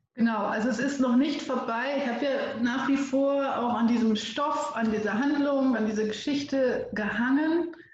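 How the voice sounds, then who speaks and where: A woman with a high pitch and fairly even intonation talks at a moderate pace with hardly any pauses, amid noticeable background noise and audible room echo. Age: 30s. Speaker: storytelling coach and editor. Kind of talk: interview conversation.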